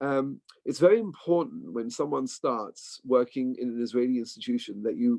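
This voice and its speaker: A man with an English accent, medium-pitched, with ordinary pitch variation and a dry, close sound with no echo. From England. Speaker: bank employee. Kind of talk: informational talk.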